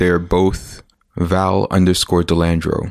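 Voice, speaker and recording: A man's very deep, low voice with a Canadian accent at a fairly slow pace, in a very clean recording with a silent background. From Toronto area, Canada (born Winnipeg). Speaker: comic book artist. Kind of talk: interview. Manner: halting.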